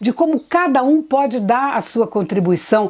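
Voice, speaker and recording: Amid noticeable background noise, a woman with a high pitch speaks at a fairly slow pace with lively intonation. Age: 60s. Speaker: theatre actress. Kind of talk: interview.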